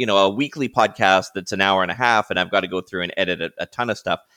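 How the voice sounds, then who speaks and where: A man speaks in a bright, sharp tone. The sound is dry and close with no echo, on a very clean recording with a silent background. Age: 50s. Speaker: podcaster, marketing agency owner, former radio broadcaster. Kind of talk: interview.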